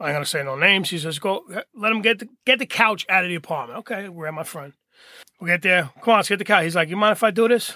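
With an American accent and a raised, projected voice, a man speaks at a very fast pace in a bright, sharp tone at a high pitch with ordinary pitch variation, in a very clean recording with a silent background. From Hoboken, New Jersey. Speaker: recovery mentor. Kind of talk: casual chat. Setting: studio.

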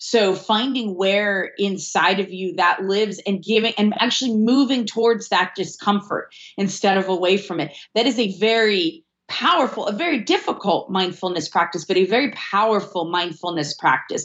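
A woman with a plain, everyday voice speaks at a medium pitch and moderate pace with ordinary pitch variation. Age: 40s. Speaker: sociologist and intimacy coach. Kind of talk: interview.

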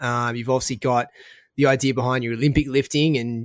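A man with an Australian accent speaks at a medium pitch, and the sound is dry and close with no echo. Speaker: podcast host and food entrepreneur. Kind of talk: casual interview.

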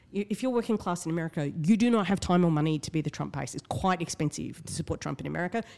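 Very fast and with lively intonation, a woman speaks in an Australian accent at a fairly low pitch with vocal fry. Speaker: writer and activist. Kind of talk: casual chat. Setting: studio.

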